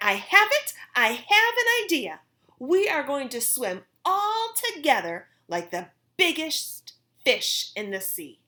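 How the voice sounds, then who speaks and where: A woman puts on a character voice at an extremely high pitch. She speaks at a fairly slow pace. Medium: read story. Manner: cheerful, eager.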